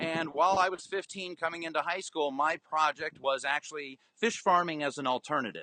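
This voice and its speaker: Speaking fairly quickly with hardly any pauses, a man with an American accent has a fairly high pitch, a bright, sharp tone and ordinary pitch variation, the sound dry and close with no echo. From US, Florida (Orlando). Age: 30s. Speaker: aquaponics farmer. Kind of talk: interview.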